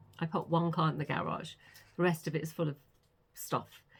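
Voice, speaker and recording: A woman speaks with a British accent. Her pitch is fairly low. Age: 60s. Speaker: author vlogger. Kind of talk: casual vlog chat. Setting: home studio.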